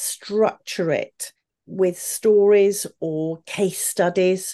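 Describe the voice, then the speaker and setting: A woman with a British accent and a dark, mellow tone speaks at a medium pitch over a quiet background. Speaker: communication coach and former opera singer. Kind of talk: interview conversation.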